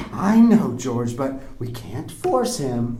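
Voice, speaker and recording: A very slow put-on character voice with clear background noise. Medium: read story. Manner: nagging, loud.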